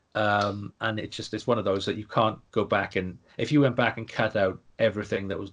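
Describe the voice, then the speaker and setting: Man speaking at a fairly quick pace, fairly even intonation, quiet background. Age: 30s. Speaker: podcast co-host. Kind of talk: casual chat. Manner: halting.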